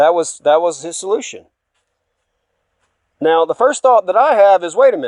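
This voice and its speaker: A man's voice swings very widely in pitch as he talks at a moderate speed. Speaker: religious speaker. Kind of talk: personal testimony. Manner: halting.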